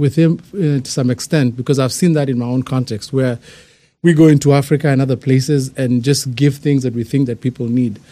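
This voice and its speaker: On a very clean recording with a silent background, a man with a dark, mellow tone talks fairly quickly at a fairly high pitch and ordinary pitch variation. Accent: Kenyan. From Kenya. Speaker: church outreach team member. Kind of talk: casual chat.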